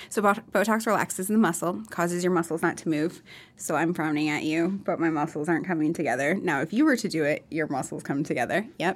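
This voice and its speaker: Very fast speech from a woman with an American accent, fairly low pitch and ordinary pitch variation, in a very clean recording with a silent background. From Minnesota and Iowa. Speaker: skin clinic owner, former nurse. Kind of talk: casual interview.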